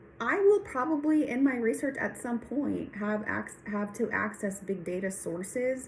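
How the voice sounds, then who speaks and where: A woman talks fairly slowly in a somewhat breathy voice, with ordinary pitch variation. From Texas. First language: Spanish. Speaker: nurse practitioner and PhD student. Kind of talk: recorded class reflection monologue.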